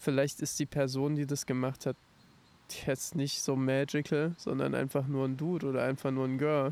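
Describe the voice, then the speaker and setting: In a dry, close sound with no echo, a man speaks at a moderate pace and medium pitch, his loudness very even and his intonation monotone and flat. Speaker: podcast co-host and musician. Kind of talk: casual chat. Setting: outdoors in a park.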